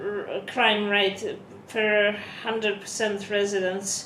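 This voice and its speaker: A woman with a non-native accent speaks at a very slow pace in a monotone, flat intonation. There is audible room echo and noticeable background noise. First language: not English. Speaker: vlogger. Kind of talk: vlog, reading from a prepared script. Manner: halting, self-correcting.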